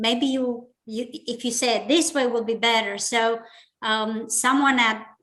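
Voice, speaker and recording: A woman is talking, and her pitch shifts in an ordinary way. Her tone sounds bright and sharp. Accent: Romanian. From Romania. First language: Romanian. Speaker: business leader and public speaking club member. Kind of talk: interview.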